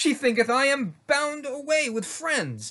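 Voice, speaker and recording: Against a quiet background, a man talks in a raised, projected voice at a moderate pace. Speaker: reader performing a script. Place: home room. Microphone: webcam.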